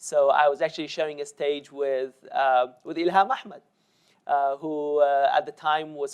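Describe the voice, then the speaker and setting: A man speaks at a moderate pace in a fairly high pitch. His intonation stays fairly even against a quiet background. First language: Kurdish (Sorani). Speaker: policy analyst. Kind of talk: panel discussion. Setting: stage with audience. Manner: hesitant, many fillers.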